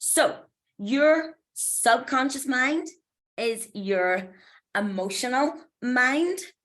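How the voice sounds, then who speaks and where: A woman with a Belfast accent, bright and sharp in tone, with very wide pitch swings. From Northern Ireland, Belfast. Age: 40s. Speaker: mindset coach. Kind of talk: motivational talk. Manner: casual, chatty.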